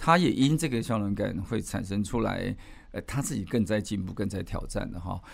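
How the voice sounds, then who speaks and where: A man talks at a moderate pace with an ordinary speaking voice. His pitch sits in the medium range, and his intonation is lively. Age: 60s. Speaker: management professor and amateur ultramarathon runner. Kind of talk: casual interview.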